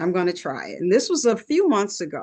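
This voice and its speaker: Over a quiet background, a woman speaks at medium pitch in a plain, everyday voice. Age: 60s. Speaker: wellness product distributor. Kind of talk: testimony.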